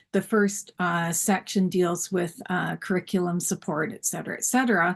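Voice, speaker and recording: A woman with a medium-pitched, somewhat breathy voice talks at a moderate pace with fairly even intonation against a quiet background. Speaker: school library advocate and panelist. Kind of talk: conference panel talk. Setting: symposium session.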